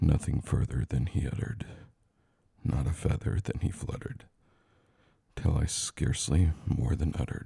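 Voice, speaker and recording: A man's pitch swings very widely while he talks at a fairly slow pace. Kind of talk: poetry reading. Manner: slow, relaxing.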